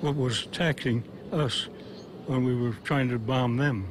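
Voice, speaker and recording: Over noticeable background noise, a man speaks fairly slowly at medium pitch. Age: 80s+. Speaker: retired Air Force colonel, World War II veteran. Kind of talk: interview answer.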